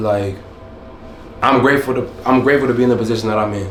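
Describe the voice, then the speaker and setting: A man's medium-pitched voice comes through audible room echo and noticeable background noise. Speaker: vlogger. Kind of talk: casual vlog monologue. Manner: monotone.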